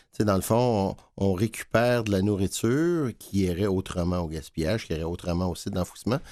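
Over a silent background in a very clean recording, a man speaks at a fairly low pitch in a dark, mellow tone with ordinary pitch variation. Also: fairly quick pace. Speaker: food bank director. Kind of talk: interview. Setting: studio.

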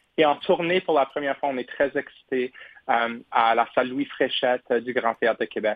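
A man with a medium-pitched voice speaks at a moderate pace, his pitch varying in an ordinary way. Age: 20s. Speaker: opera tenor singer. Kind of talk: radio interview. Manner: halting.

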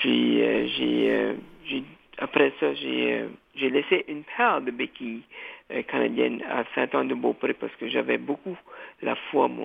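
Long, frequent pauses in a man's fairly slow delivery. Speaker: community radio host. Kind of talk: interview. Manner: halting, repeats words.

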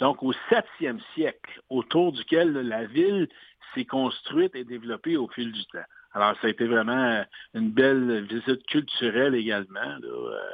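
A man speaks in a plain, everyday voice with a medium pitch. His pace is fairly slow and his pitch variation ordinary. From Quebec. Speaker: sports announcer. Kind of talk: interview. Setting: phone call.

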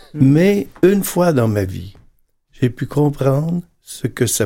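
In a dark, mellow tone, a man talks at a very slow pace. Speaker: priest. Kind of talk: panel discussion.

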